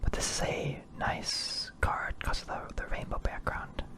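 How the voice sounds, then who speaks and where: Through noticeable background noise comes a man's whisper at a moderate pace. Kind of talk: casual talk to camera. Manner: whispered.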